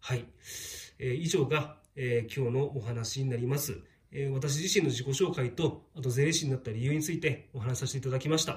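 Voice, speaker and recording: A somewhat breathy voice at a fairly quick pace. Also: man, medium pitch for a man, ordinary pitch variation. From Shizuoka, Japan. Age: 40s. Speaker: tax accountant. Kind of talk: monologue to camera. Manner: many fillers, hesitant.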